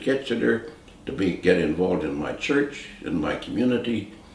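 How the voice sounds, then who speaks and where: A man with a Canadian accent speaks at a moderate pace with lively intonation, his voice carrying audible room echo over noticeable background noise. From Canada, rural Ontario. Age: 80s+. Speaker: retired business executive and philanthropist. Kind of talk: personal testimony interview.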